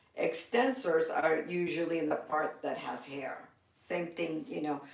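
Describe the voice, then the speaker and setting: Fairly slow pace against noticeable background noise. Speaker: massage therapy instructor. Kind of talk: lecture. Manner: casual.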